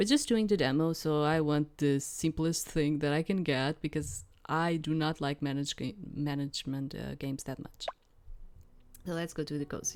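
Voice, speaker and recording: A woman with a non-native accent speaks at a moderate pace. Her pitch is very deep and low, with fairly even intonation. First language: not English. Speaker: gaming YouTuber. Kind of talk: let's play commentary. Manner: halting.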